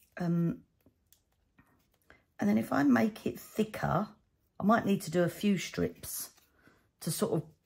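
With vocal fry and very wide pitch swings, a woman talks in a fairly low pitch. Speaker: cardmaking channel host. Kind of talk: crafting tutorial. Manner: chatty, thinking aloud.

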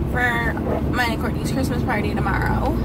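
Loud background noise runs behind a woman as she talks. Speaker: vlogger. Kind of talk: casual vlog chat. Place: car. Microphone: phone near.

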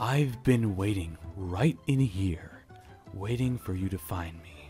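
A put-on character voice, low in pitch and at a fairly slow pace, with hissing and clear music in the background. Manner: menacing.

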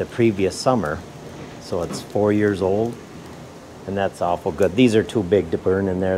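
Noticeable background noise sits behind a man with a very deep, low pitch. He talks at a moderate pace with fairly even intonation. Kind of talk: casual vlog chat. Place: workshop. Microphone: phone near.

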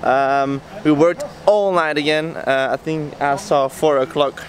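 A man talks at a fairly slow pace in a dry sound with no echo, with light background noise. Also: fairly even intonation. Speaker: boat team member vlogger. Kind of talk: casual vlog chat. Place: street. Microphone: phone near.

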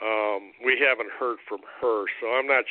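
Speaking with an American accent, a man keeps a medium pitch, fairly even intonation and a fairly slow pace. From US Midwest, Cleveland area, Ohio. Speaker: political candidate. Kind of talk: interview. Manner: halting.

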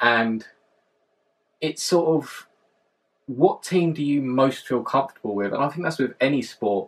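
Spoken with a southern English accent at a fairly slow pace, this voice has ordinary pitch variation and long, frequent pauses. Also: man, fairly high pitch for a man. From London, southern England. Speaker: vlogger. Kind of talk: vlog monologue. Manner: hesitant, many fillers. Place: home room. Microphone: camera far.

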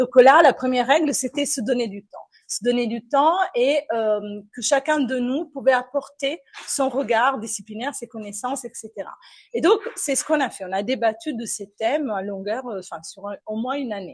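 A woman with an Italian accent and a high pitch speaks at a moderate pace, showing ordinary pitch variation and big swings in loudness. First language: Italian (speaking French). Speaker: philosophy lecturer. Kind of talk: panel discussion. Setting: café with live and online audience.

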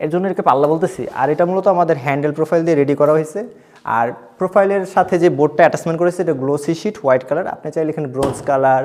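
A man with a normal speaking voice, pitched fairly high, with ordinary pitch variation. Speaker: furniture designer showing his work. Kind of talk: product showcase tour.

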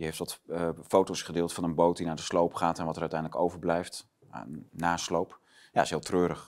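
A man speaks in a very deep, low pitch with monotone, flat intonation. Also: fairly quick pace, quiet background. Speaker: online talk show host. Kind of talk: political interview talk. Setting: studio. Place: studio.

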